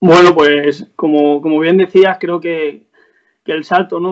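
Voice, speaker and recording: A man delivers his words at a moderate pace in a fairly high pitch, with monotone, flat intonation. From Spain, Salamanca province (Guijuelo area). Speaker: footballer. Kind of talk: interview.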